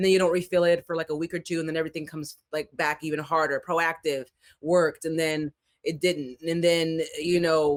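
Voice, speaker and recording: A woman with an American accent speaks at a fairly quick pace in a fairly low pitch, the sound dry and close with no echo. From Florida. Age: 30s. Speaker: fitness coach and bodybuilder. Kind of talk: casual chat. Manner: animated.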